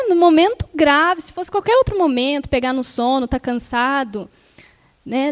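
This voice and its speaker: In a dry, close sound with no echo, a woman speaks at a high pitch with lively intonation and a moderate pace. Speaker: spiritist lecturer. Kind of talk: lecture. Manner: soft-spoken.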